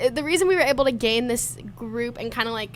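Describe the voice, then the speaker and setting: Woman's speech, moderate pace. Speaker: college student, podcast guest. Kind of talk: casual chat. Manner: loud.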